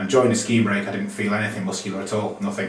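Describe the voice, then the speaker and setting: Audible room echo is present. There is also noticeable background noise. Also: man. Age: 40s. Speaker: yoga student. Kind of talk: testimony. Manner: fast.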